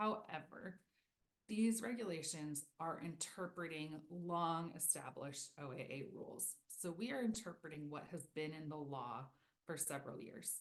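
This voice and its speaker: Her voice very deep and low, a woman speaks with lively intonation. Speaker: federal agency presenter. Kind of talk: webinar presentation. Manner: fast.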